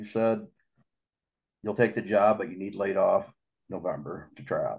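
With an American accent, a man speaks at a moderate speed while the background stays quiet. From Iowa. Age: 50s. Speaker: lure maker and trap builder; podcast guest. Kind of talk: casual chat. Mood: relaxed storytelling. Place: home room. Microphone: video call.

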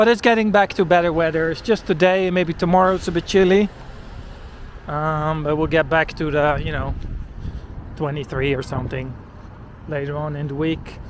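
A man with a Dutch accent and a fairly high pitch talks at a moderate pace, taking long, frequent pauses amid noticeable background noise. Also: ordinary pitch variation. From Netherlands. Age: 40s. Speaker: walking-tour vlogger. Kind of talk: casual vlog narration while walking. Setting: outdoors, walking in rain.

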